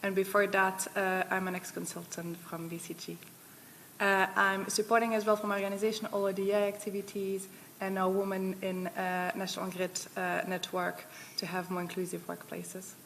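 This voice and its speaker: A woman speaks at a medium pitch and a moderate pace. Her intonation stays flat and monotone. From Belgium. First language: not English. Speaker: energy company director. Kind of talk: panel self-introduction.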